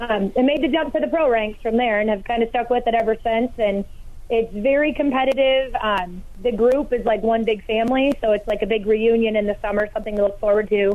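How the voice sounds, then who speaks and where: At a fairly quick pace with hardly any pauses, a woman with an ordinary speaking voice keeps a fairly high pitch, ordinary pitch variation and very even loudness. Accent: American. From Hayward, Wisconsin. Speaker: log rolling competitor. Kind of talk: radio interview.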